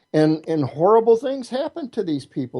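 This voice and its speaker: With an American accent, a man speaks in a dark, mellow tone, his pitch swinging very widely. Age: 60s. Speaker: martial artist and witch. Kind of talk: interview. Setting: internet radio show. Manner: repetitive, halting starts.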